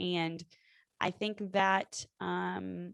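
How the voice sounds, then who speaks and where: A woman speaks with a fairly low pitch. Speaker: podcast co-host. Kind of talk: casual chat. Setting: video call.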